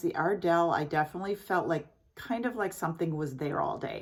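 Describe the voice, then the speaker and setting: A woman with a fairly low pitch and ordinary pitch variation speaks in a normal speaking voice, captured in a very clean recording with a silent background. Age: 60s. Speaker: beauty vlogger. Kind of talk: product review tutorial. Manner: casual, chatty with fillers.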